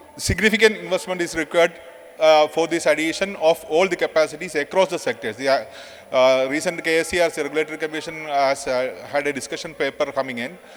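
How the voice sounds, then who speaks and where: A man speaks fairly quickly in a fairly high voice with fairly even intonation, over noticeable background noise. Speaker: power sector official. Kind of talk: conference presentation. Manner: fast; halting, many fillers.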